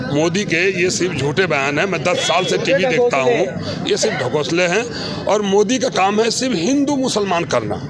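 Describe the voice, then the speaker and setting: With lively intonation and very even loudness, a high-pitched man talks with hardly any pauses, amid audible room echo and noticeable background noise. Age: 60s. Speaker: member of the public. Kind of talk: street interview, heated political opinion. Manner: animated.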